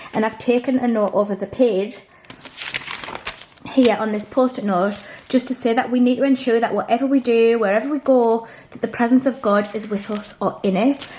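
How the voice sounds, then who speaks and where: Here a woman speaks with a British accent. Her pitch is fairly high and her pace fairly quick. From UK. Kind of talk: Bible study vlog. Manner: casual. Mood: calm, earnest. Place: home room.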